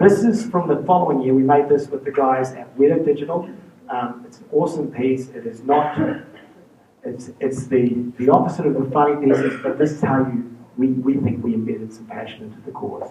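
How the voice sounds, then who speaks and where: A man with a New Zealand accent speaks with a fairly high pitch and ordinary pitch variation, his loudness swinging widely. Noticeable background noise runs underneath. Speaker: charity fundraiser. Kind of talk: presentation talk. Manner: fast.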